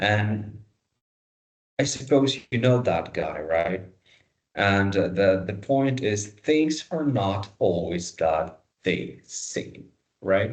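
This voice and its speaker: A fairly low-pitched man with a non-native accent, speaking at a very slow pace with long, frequent pauses and lively intonation, in a room with audible echo. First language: not English. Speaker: dentistry lecturer. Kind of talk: lecture. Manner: halting.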